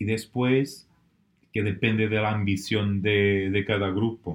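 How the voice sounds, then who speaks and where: A man with a non-native accent speaks at a very slow pace in a fairly low pitch with a monotone, flat intonation. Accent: foreign, non-Spanish. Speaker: business networking director. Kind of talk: podcast interview. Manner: halting, with fillers.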